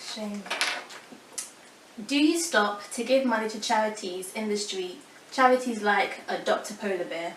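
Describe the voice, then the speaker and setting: A woman with a fairly high voice uses lively intonation, with long, frequent pauses and big swings in loudness. Noticeable background noise is present. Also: moderate pace. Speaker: YouTuber and interviewer. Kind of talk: casual talk to camera and interview questions.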